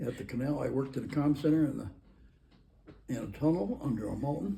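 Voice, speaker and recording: A man with an American accent, a dark, mellow tone and vocal fry, at a very fast pace. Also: medium pitch for a man, ordinary pitch variation. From Michigan, Bay County, rural. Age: 80s+. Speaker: army veteran. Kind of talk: oral history interview. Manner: halting.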